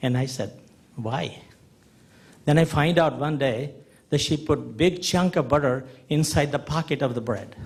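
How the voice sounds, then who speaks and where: This man has an American accent and a fairly high pitch, with a somewhat breathy sound and ordinary pitch variation. He keeps a moderate pace broken by long, frequent pauses. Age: 70s. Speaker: audience member. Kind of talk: audience comment. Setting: conference hall with audience.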